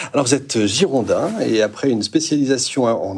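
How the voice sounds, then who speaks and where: At a moderate pace, a man talks in a plain, everyday voice of medium pitch. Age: 50s. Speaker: radio host. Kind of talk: interview.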